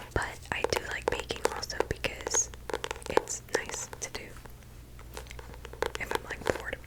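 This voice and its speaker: Clear background noise runs beneath a woman's whisper. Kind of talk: ASMR rambling to camera.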